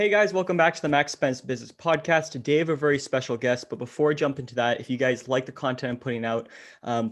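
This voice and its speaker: A man with a Canadian accent speaks at a medium pitch and a very fast pace. The background stays quiet. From Ottawa, Canada. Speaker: podcast host. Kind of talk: podcast interview.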